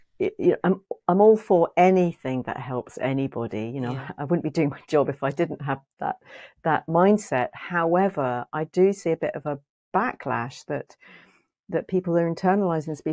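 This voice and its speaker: With an English accent, a woman speaks at a moderate pace in a fairly low voice with a dark, mellow tone. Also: lively intonation, quiet background. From England. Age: 50s. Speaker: psychotherapist and author; podcast guest. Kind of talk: interview conversation. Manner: hesitant, many fillers. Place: home room. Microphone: earbuds.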